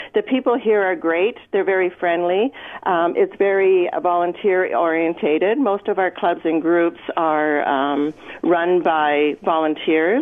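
A woman's normal speaking voice with a Canadian accent, fairly low in pitch, fairly slow, with ordinary pitch variation and very even loudness. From Edmonton, Canada. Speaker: longtime resident. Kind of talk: radio interview. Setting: phone call.

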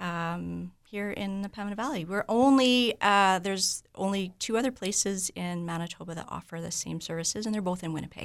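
A woman with a Canadian accent and a plain, everyday voice speaks at a fairly quick pace with hardly any pauses, using a medium pitch and ordinary pitch variation in a very clean recording with a silent background. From Vancouver, Canada. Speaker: medical spa owner. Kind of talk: radio interview.

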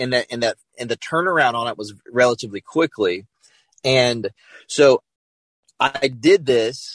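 Heard in a dry, close sound with no echo, a man of medium pitch talks at a moderate pace with ordinary pitch variation, big swings in loudness, and long, frequent pauses. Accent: American. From South Carolina, US South. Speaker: pastor. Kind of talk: testimony. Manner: halting, many fillers and repeats.

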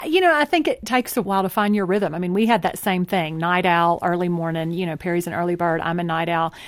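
A woman speaks with a Texan accent. Her pace is very fast. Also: fairly low pitch for a woman, ordinary pitch variation. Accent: Texan American. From Texas (city upbringing). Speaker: author. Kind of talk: interview.

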